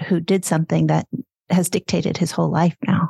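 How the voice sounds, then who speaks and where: A woman's fairly low, somewhat breathy voice. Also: dry, close sound with no echo. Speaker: podcast host. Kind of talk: casual interview conversation.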